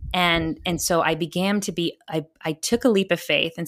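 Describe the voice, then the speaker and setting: A woman with a normal speaking voice and an American accent, fairly low in pitch, at a moderate pace, in a dry, close sound with no echo. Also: very clean recording, silent background. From Texas. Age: 30s. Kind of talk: interview conversation.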